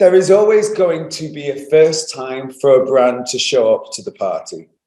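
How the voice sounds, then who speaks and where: A British accent at a moderate pace, with big swings in loudness. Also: man. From Manchester, England. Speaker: company founder and CEO. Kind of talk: interview. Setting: office.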